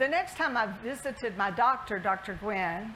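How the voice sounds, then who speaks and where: A woman's fairly high voice in a Southern US accent, with lively intonation, a moderate pace and noticeable background noise. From US South, Alabama. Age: 60s. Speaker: health system CEO. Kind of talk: keynote speech.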